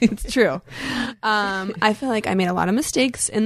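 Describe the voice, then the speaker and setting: Against a quiet background, a woman talks at a fairly quick pace and a medium pitch, with very wide pitch swings. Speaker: podcast host, dancer and choreographer. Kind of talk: casual chat.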